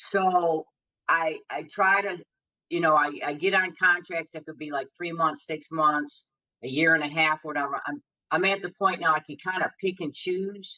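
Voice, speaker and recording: Here is an unremarkable speaking voice from a woman, fairly low in pitch, at a moderate pace. Her loudness swings widely while her intonation stays fairly even. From Detroit, US Midwest. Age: 60s. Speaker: blues singer. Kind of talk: podcast interview.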